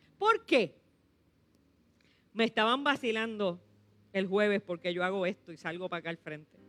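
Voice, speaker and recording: With music in the background and a dry, close sound with no echo, a woman speaks in an animated tone at a medium pitch and moderate pace, with ordinary pitch variation and long, frequent pauses. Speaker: pastor. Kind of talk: sermon.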